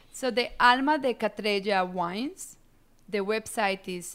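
Recorded very cleanly against a silent background, a woman speaks at medium pitch with ordinary pitch variation. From Colombia, Medellin. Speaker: winemaker. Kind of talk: interview.

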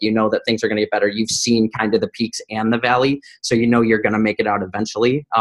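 The man's intonation is monotone and flat. His voice sits at a medium pitch. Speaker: podcast guest, operations executive. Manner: fast talker.

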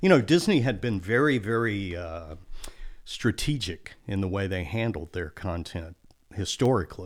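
In a very clean recording with a silent background, a man with a plain, everyday voice and an American accent speaks at a moderate pace, his pitch fairly low and his intonation lively. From Texas coast. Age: 60s. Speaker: accountant and business consultant. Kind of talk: casual interview.

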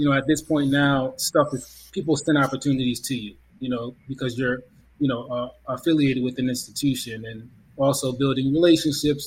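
Speaking at a fairly quick pace, a man with a medium pitch sounds somewhat breathy, keeping his intonation fairly even. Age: 30s. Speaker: playwright. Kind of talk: casual chat.

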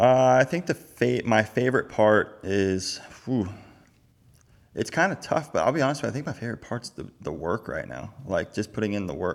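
Vocal fry marks a man's medium-pitched voice. He uses lively intonation at a moderate pace. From Florida. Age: 30s. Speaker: professional motocross racer. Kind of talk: casual chat.

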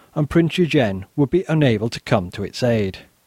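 A man with a northern English accent, fairly high-pitched, lively in intonation, at a moderate pace. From northern England. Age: 40s. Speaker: history podcaster. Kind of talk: casual chat; scripted narration.

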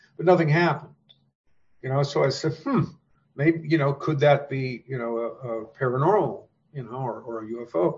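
This man's voice is somewhat breathy and keeps a moderate pace. He leaves long, frequent pauses. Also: fairly high pitch for a man, ordinary pitch variation. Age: 70s. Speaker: author. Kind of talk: interview conversation.

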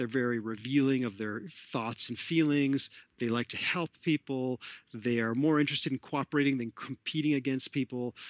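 This man has a plain, everyday voice, with a Canadian accent, medium pitch, fairly even intonation and a moderate pace. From Canada, Toronto. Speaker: sports psychologist. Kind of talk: interview.

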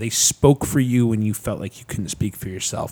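Dark and mellow, a man's voice carries an American accent. He talks at a fairly quick pace with a fairly low pitch. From Chicago area, Illinois. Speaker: nonprofit founder. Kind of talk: casual interview chat. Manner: animated.

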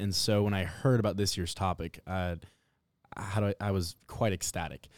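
Speaking at a fairly quick pace with an American accent, a man with a normal speaking voice and fairly low pitch comes through a very clean recording with a silent background and a dry, close sound with no echo. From Nebraska, Omaha. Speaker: program director of a youth civics program. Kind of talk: podcast interview.

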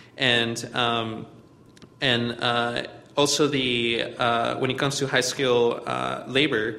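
A man speaks very slowly at a medium pitch, in monotone, flat intonation with very even loudness and long, frequent pauses. Noticeable background noise and audible room echo fill the recording. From Mexico, Chihuahua. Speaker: community organizer. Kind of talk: talk to a church group.

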